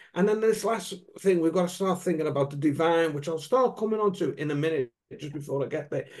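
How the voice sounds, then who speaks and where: A man speaks fairly quickly, his pitch varying in an ordinary way, with a quiet background behind him. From UK. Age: 60s. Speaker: wellbeing coach. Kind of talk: casual chat. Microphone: video call.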